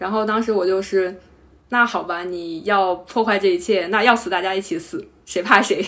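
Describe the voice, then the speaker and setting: At a moderate pace and medium pitch, a woman talks in a plain, everyday voice with ordinary pitch variation. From Henan, China. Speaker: carpenter, former civil servant. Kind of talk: interview.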